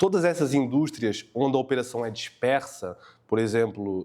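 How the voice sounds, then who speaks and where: This man has a dark, mellow tone and a European Portuguese accent. The recording is very clean, the background silent. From Portugal. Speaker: tech company co-founder. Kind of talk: podcast interview. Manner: hesitant, many fillers.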